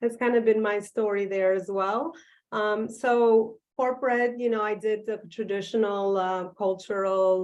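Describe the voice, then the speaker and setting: A woman speaks fairly slowly with an Albanian accent and monotone, flat intonation. The background is quiet. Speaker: business coach and author. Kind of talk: virtual talk. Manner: halting, many fillers.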